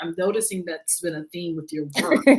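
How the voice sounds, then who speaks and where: A woman talks in an unremarkable speaking voice with a fairly low pitch. Her pace is moderate and her pitch variation ordinary. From US South, Durham, North Carolina. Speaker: discussion moderator. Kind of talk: interview Q&A.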